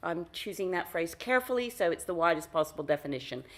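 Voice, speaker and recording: Her pitch rises and falls over a very wide range. This woman talks with an American accent. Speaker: foundation director, workshop facilitator. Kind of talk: conference talk.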